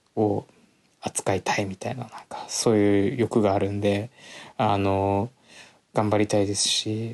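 Against a quiet background, a man talks at a fairly low pitch, the sound dry and close with no echo. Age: 20s. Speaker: podcast host. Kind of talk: solo talk with reading aloud. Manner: casual, filler-heavy.

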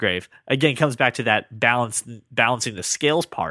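With lively intonation and a moderate pace, a man speaks at a medium pitch in a dry, close sound with no echo. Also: very clean recording, silent background. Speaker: podcast co-host. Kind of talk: scripted narration; casual chat. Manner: puts on a special voice for intros and outros.

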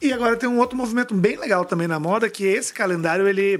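A man speaks at a fairly quick pace in a high voice. His pitch varies in an ordinary way. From Brasília, Brazil. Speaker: fashion brand founder. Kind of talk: interview.

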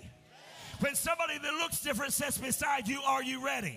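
The speaker's voice is raised and projected, with an animated tone. The pace is fairly quick, over noticeable background noise. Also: man. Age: 50s. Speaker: pastor. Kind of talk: sermon. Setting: church.

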